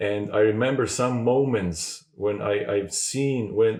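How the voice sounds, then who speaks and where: A man with a fairly low pitch and a Croatian accent, at a fairly slow pace. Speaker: podcast host. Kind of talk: interview conversation. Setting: in-person recording in Zagreb. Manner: halting.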